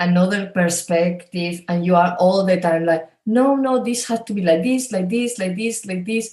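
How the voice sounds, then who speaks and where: The speaker has a Spanish accent. The tone is dark and mellow. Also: woman. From Spain. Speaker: coach. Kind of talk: interview.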